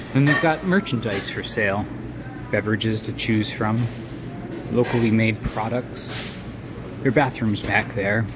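Noticeable background noise runs under a man who speaks with long, frequent pauses. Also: ordinary pitch variation. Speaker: visiting local guide. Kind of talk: casual vlog tour narration. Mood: friendly and upbeat. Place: shop. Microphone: phone near.

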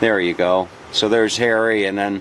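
An unremarkable speaking voice goes at a moderate pace with fairly even intonation, sounding dry with no echo over light background noise. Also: man. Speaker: travel vlogger. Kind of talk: casual travel commentary. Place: street. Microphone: phone near.

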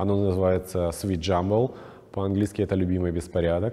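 With a non-native accent, a man speaks at a fairly low pitch. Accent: foreign-sounding accent in Russian. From Czech Republic. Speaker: stylist; guest. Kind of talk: interview. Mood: calm, warm, reflective. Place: studio. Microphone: lapel.

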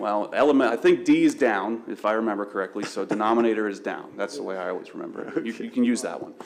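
There is noticeable background noise. Over it, a man talks at a fairly quick pace with a medium pitch. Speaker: applicant's representative at township board. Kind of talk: public hearing testimony. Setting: township board meeting.

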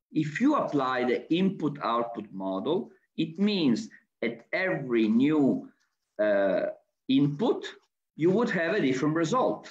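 Over a quiet background, a man with an Italian accent speaks at a fairly slow pace with vocal fry, very wide pitch swings, and long, frequent pauses. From Italy. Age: 60s. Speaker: architect and university professor. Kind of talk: lecture. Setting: video call. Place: home room. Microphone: webcam.

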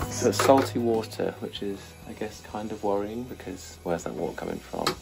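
A man speaks fairly quickly while faint music runs in the background. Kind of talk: casual vlog chat. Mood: cheerful, slightly worried. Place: boat. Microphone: phone near.

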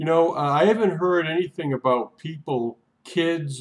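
With lively intonation, a man talks at a very slow pace. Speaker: vlogger. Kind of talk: casual vlog chat. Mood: earnest, emphatic. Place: home room. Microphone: webcam.

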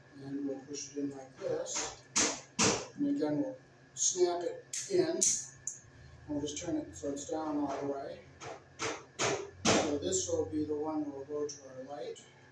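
Amid loud background noise and audible room echo, a man talks at a fairly slow pace with long, frequent pauses. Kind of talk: tutorial. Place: hall. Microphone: camera far.

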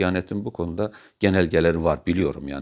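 Behind him, the background is quiet. A man's speech runs at a fairly quick pace. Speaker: religious commentator. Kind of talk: monologue talk. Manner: animated; halting.

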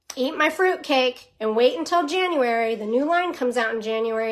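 This is a woman with a high pitch. She speaks at a moderate pace. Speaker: direct sales team leader. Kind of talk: casual vlog chat, coaching tips. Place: home room. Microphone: phone near.

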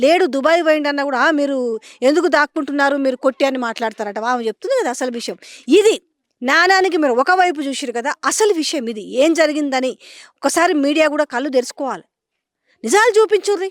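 A woman speaks at a high pitch with lively intonation. The recording is very clean, with a silent background. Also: dry, close sound with no echo. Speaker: field reporter. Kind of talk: field interview and commentary.

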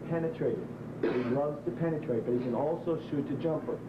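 There is noticeable background noise as a man talks at a fairly quick pace. His voice is fairly high, with ordinary pitch variation and very even loudness. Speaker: college basketball head coach. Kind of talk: pregame locker-room pep talk. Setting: locker room. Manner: firm, emphatic coaching instructions.

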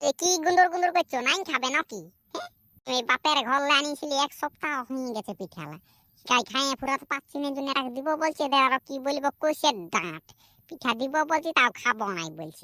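This cartoonish character voice runs at a moderate pace with lively intonation, captured in a very clean recording with a silent background and a dry, close sound free of echo. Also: woman, high pitch for a woman. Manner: coaxing, nagging.

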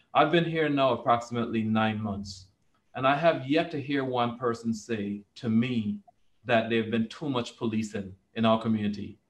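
A man with a Virgin Islands accent talks at a moderate pace with ordinary pitch variation. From US Virgin Islands, St. Thomas; US Virgin Islands. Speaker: police commissioner; panelist. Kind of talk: panel discussion. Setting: video call. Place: office. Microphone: video call.

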